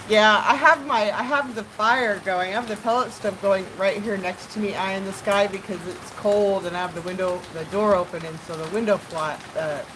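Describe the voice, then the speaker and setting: With hardly any pauses, a woman of medium pitch talks at a moderate pace over noticeable background noise. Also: ordinary pitch variation. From California. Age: 50s. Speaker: live streamer. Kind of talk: casual live stream chat. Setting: at home by open door, pellet stove.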